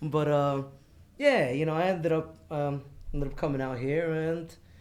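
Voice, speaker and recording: A man with a New York accent talks at a moderate pace in a fairly high pitch with fairly even intonation, and audible room echo is present. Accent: New York accent, still there. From New York City, Queens. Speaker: Marine Corps veteran, burn survivor. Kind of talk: casual podcast interview. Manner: loud, voice carries.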